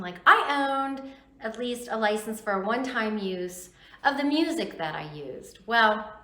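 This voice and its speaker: At a fairly slow pace, a woman speaks with a fairly high pitch. Audible room echo and noticeable background noise are present. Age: 60s. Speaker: YouTuber vlogger. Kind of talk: casual vlog talk to camera.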